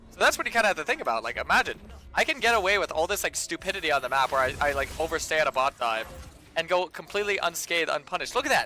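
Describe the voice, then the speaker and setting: A man's high voice at a very fast pace, with very wide pitch swings. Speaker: game streamer. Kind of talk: live gameplay commentary with chat. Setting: live stream. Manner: hesitant, many fillers and repetitions.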